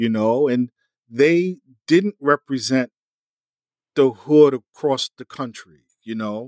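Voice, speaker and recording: A man at a very slow pace, with a dry, close sound and no echo. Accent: New York. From US Northeast, Mount Vernon, New York. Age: 50s. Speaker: music industry insider. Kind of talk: interview. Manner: halting.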